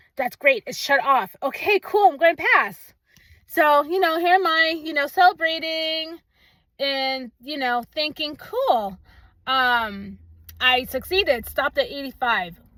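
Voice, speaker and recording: Raised, projected, bright and sharp, a woman's high-pitched voice at a fairly slow pace with lively intonation. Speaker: nurse. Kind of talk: casual vlog update.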